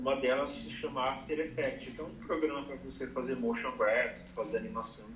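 A man speaks at a fairly quick pace, hardly pausing at all. Noticeable background noise runs behind him. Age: 30s. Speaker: advertising professional. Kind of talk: casual chat.

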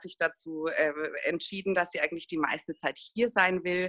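This woman has an unremarkable speaking voice and a medium pitch. She talks at a moderate pace. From Würzburg, Lower Franconia, Germany. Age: 40s. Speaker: single mother in a patchwork family. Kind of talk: interview, personal conversation.

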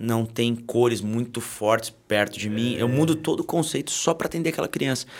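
A man with an ordinary speaking voice, medium pitch and ordinary pitch variation delivers his words at a moderate pace. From Brazil, Taubaté (São Paulo state). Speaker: children's content creator. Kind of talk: casual chat.

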